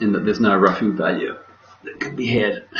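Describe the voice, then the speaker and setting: Quiet and mumbling, a man with an Australian accent speaks at a fairly low pitch amid noticeable background noise. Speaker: bridge director. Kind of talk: game commentary. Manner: quiet, mumbling.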